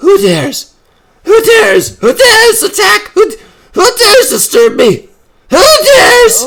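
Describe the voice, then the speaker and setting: A put-on character voice at an extremely high pitch moves at a moderate pace, broken by long, frequent pauses. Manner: indignant, demanding, menacing.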